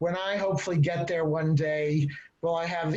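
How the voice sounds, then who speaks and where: Heard with audible room echo, a man with an American accent and fairly high pitch speaks at a moderate pace. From Texas. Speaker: novelist. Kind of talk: panel discussion. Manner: halting.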